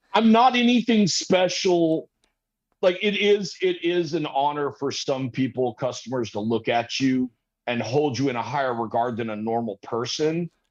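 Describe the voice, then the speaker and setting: Loud and fairly high, a man's voice moves at a moderate pace with very wide pitch swings against a quiet background. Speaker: machinist making custom vape parts. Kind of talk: casual chat.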